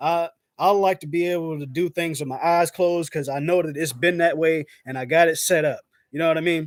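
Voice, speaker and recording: Delivered at a fairly quick pace, the speech has fairly even intonation and a dry, close sound with no echo. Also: man, fairly high pitch for a man. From South Carolina. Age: 30s. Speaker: YouTuber. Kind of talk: live stream chat. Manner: casual, halting.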